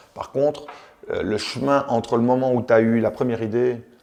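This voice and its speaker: A man's voice of medium pitch with fairly even intonation and a moderate speed. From Belgium, Charleroi. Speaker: entrepreneur, former footballer. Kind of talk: interview. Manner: hesitant, many fillers.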